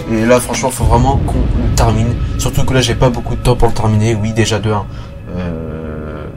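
A man speaks at a moderate pace with clear music in the background. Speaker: gaming youtuber. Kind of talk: casual let's play commentary. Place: home room. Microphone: headset.

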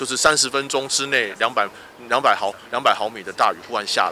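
A man speaks at a fairly quick pace with ordinary pitch variation. The sound is dry with no echo, and there is light background noise. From Taiwan. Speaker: local official at site inspection; local city councillor. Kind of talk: on-site interview remarks. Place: street.

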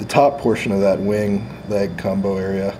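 Faint background noise lies behind a man talking at a fairly slow pace, his fairly low voice dark and mellow in tone.

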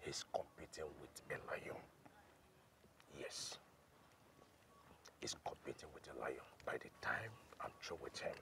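A man whispers in a put-on character voice with vocal fry. He goes at a fairly slow pace with long, frequent pauses.

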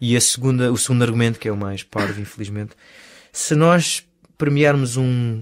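A man with an unremarkable speaking voice, medium-pitched, with ordinary pitch variation at a moderate pace, on a very clean recording with a silent background. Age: 30s. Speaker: stunt coordinator. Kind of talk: interview.

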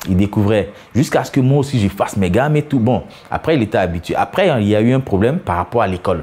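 Very fast and full of very wide pitch swings, a man's voice rushes along. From Côte d'Ivoire, Abidjan. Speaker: former footballer. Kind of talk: documentary interview. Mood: warm, nostalgic. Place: home room. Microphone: lapel.

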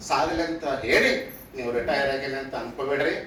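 A man's fairly high voice, fairly even in intonation, with audible room echo and noticeable background noise. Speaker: government officer. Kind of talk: farewell speech. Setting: retirement function.

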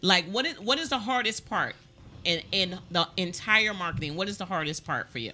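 A woman speaks with an American accent at a moderate pace. Her intonation is lively. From Maryland. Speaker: talk show host. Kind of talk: casual interview. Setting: studio. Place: studio. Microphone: studio mic.

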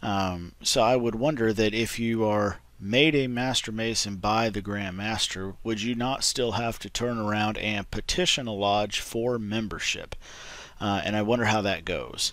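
A man talks fairly slowly at a fairly low pitch with fairly even intonation. The sound is dry, with no echo. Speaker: video host. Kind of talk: explanatory vlog talk. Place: home room. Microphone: webcam.

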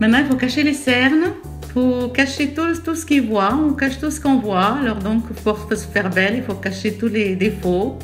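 Over music in the background, a woman talks at a moderate pace with a fairly high pitch. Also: lively intonation. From Algeria. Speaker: grandmother. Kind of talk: improvised makeup tutorial voice-over. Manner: chatty, humorous.

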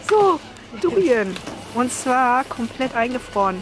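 Slowly, a woman talks at a fairly high pitch with big pitch swings, over faint background noise.

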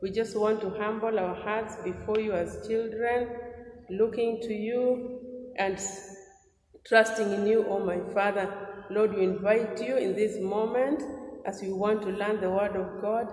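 Speaking at a fairly slow pace, a woman keeps a monotone, flat intonation in a room with audible echo. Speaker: Sunday school teacher. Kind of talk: prayer. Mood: earnest, fervent. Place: home room. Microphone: lapel.

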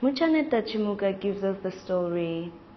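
A woman's lively intonation at a moderate pace over noticeable background noise.

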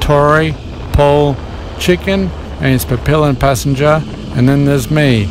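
The sound is dry with no echo, though noticeable background noise is present. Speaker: motovlogger. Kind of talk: casual vlog chat. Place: motorbike.

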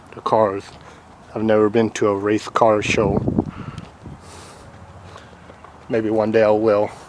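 A man speaks at a fairly slow pace in a fairly low pitch with monotone, flat intonation. The sound is dry with no echo, though noticeable background noise is present. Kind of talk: casual vlog narration. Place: open country. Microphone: phone near.

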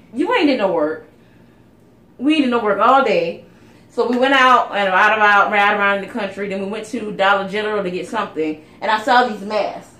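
Audible room echo surrounds a woman speaking in an animated tone at a medium pitch. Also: ordinary pitch variation, moderate pace. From South Carolina. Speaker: beauty YouTuber; beauty vlogger. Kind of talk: casual chat. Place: home room. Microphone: phone near.

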